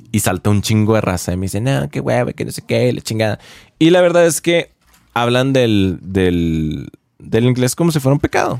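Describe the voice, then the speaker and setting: In a dry, close recording with no echo, a man talks at a moderate pace and medium pitch with very wide pitch swings. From Mexico, Chihuahua. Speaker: podcaster. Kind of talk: casual monologue. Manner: hesitant, repeats words.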